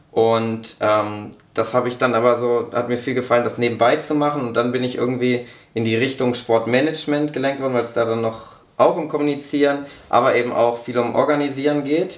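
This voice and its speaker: Audible room echo surrounds a man speaking. His pitch is medium and his intonation fairly even. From northern Germany (Braunschweig, Lower Saxony). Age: 20s. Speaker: young politician and sports management graduate. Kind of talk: podcast interview.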